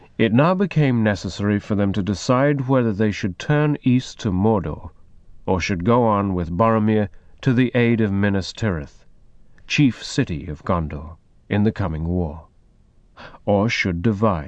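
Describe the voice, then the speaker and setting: Over a quiet background, a man with a normal speaking voice talks at a moderate pace, his pitch fairly low and his intonation lively. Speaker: publisher announcer. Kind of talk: formal scripted introduction and recap. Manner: formal, even.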